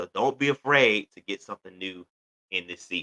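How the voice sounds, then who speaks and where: A man's bright, sharp voice, recorded dry and close with no echo, moves at a moderate pace with ordinary pitch variation. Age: 30s. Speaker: podcast host. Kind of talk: motivational talk.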